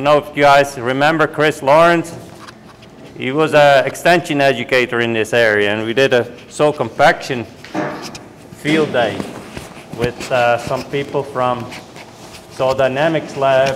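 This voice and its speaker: A man with a Dutch accent speaks fairly slowly at a fairly high pitch, with long, frequent pauses and big swings in loudness. Noticeable background noise runs underneath. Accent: Dutch accent, lasting. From Netherlands. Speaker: university soil management specialist. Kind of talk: talk to farmers at a winter meeting.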